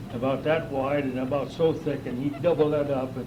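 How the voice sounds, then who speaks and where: This speaker has an American accent. The room echo is audible and the background noise is noticeable. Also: man. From northern California. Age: 80s+. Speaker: local old-timer. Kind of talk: oral history interview. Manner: halting.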